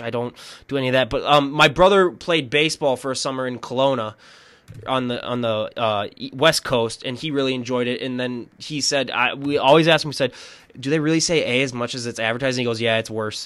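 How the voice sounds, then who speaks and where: A man with an Upper Midwestern accent talks at a very fast pace. The recording is very clean, with a silent background. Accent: upper Midwestern, slightly Canadian-sounding. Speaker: podcast host. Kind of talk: casual interview.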